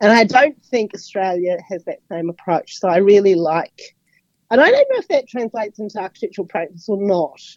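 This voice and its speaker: A woman with a New Zealand accent at a fairly quick pace, medium in pitch with ordinary variation, in a dry, close sound with no echo. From New Zealand, Auckland. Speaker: architectural editor and writer. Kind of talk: radio interview. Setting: radio studio.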